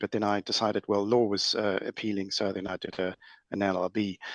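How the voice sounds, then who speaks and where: A man with a South African accent speaks at a fairly quick pace in a fairly low pitch. The background is quiet, and the sound is dry and close with no echo. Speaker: lawyer in banking. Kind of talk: panel discussion. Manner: halting.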